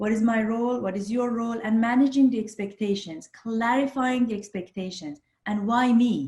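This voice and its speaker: With a non-native accent, a woman speaks at a fairly quick pace and a fairly high pitch. Her tone is dark and mellow, somewhat breathy, with fairly even intonation. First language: not English. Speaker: social psychologist. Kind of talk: podcast interview.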